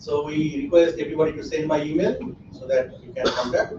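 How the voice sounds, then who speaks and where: A man with a Bengali accent speaks at a moderate pace, with ordinary pitch variation. Audible room echo and noticeable background noise fill the recording. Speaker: academic conference organizer. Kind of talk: conference opening remarks.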